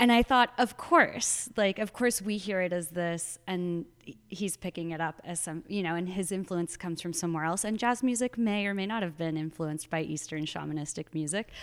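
With an American accent and a normal speaking voice, a woman talks at a moderate pace and medium pitch, with ordinary pitch variation and hardly any pauses, on a very clean recording with a silent background. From Arizona. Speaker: poet. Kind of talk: casual chat. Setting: library at an artist residency.

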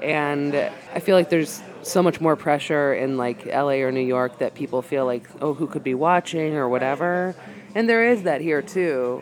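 A moderate pace in an American accent, hardly any pauses, and noticeable background noise behind the voice. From Massachusetts. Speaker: stand-up comedian. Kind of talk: casual chat. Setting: bar.

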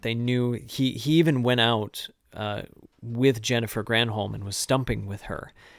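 A man with an American accent speaks in a plain, everyday voice at a medium pitch, his intonation fairly even, on a very clean recording with a silent background. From mid-Michigan. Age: 30s. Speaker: choir teacher and musician. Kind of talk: casual chat. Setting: cabin in the woods during quarantine.

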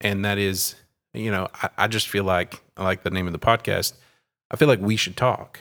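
Speaking with an East Texas accent, a man holds a moderate pace at a fairly low pitch with fairly even intonation. The recording is very clean and silent behind him, with a dry, close sound and no echo. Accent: East Texas Southern US. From East Texas (Terrell). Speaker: pastor and podcast host. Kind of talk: casual discussion.

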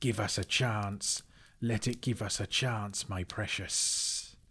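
Hissing comes through as a man in a put-on character voice speaks fairly slowly at a fairly low pitch. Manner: whispering, spluttering.

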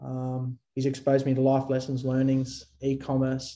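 With an Australian accent, a man speaks at a medium pitch in a dark, mellow tone. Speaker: drone company founder and CEO. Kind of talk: interview. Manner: halting, frequent fillers and repeated words.

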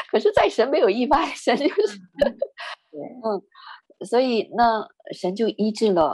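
In a dry, close recording with no echo, a woman with vocal fry and a fairly high pitch speaks at a moderate pace, with very wide pitch swings and long, frequent pauses. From northern China. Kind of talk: testimony.

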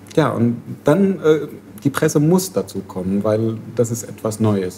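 Talking at a fairly slow pace, a man with an Arabic accent uses a fairly low pitch and ordinary pitch variation. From Syria. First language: Arabic (speaking German). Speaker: refugee activist. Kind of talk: casual discussion. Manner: halting.

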